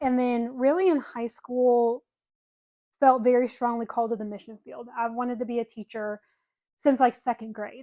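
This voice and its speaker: In a Southern US accent, a woman speaks at a moderate pace in a high voice with a dark, mellow tone and fairly even intonation. Her loudness swings widely, and the sound is dry and close with no echo. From US South, Birmingham, Alabama. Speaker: podcast co-host. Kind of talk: casual chat.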